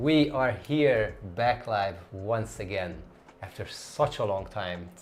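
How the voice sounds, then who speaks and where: Over noticeable background noise, a man speaks very slowly with ordinary pitch variation. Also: medium pitch for a man. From Hungary, Budapest. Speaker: travel YouTuber. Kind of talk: live stream chat and Q&A.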